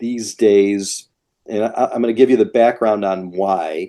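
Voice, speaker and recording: A man speaks with a dark, mellow tone. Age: 60s. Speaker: real estate investor. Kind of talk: podcast interview.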